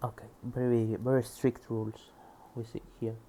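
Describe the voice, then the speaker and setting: Here a man with a Spanish accent talks at a moderate pace and a medium pitch. His tone is dark and mellow. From Spain. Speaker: programmer studying a book. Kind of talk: reading aloud with commentary. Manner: halting.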